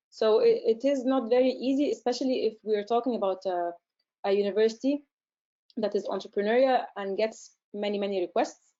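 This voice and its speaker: In an Arabic accent, a woman talks at a fairly quick pace with a fairly high pitch and ordinary pitch variation. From Egypt. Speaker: research centre director and scientist. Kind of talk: webinar Q&A. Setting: online webinar. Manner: hesitant, many fillers.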